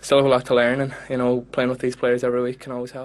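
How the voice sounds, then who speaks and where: Speaking in a Donegal accent, a man goes at a very fast pace in a medium pitch. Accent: Donegal Irish. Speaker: footballer. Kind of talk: post-match interview.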